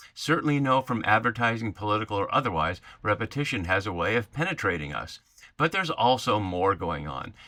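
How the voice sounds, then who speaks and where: A man's bright, sharp voice with vocal fry, very wide pitch swings and a fairly quick pace. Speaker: Bible teacher. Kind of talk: lecture. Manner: fast.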